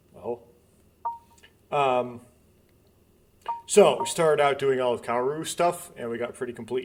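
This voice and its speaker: There is noticeable background noise as a man speaks at medium pitch with ordinary pitch variation. His pace is fairly slow, with long, frequent pauses. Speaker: gaming video creator. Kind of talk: let's play commentary. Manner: halting.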